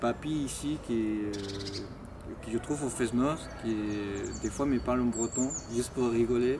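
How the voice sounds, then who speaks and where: A man's voice against noticeable background noise. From Chile. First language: Spanish (speaking French). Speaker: Chilean immigrant, former student. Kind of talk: interview testimony. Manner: hesitant, many fillers.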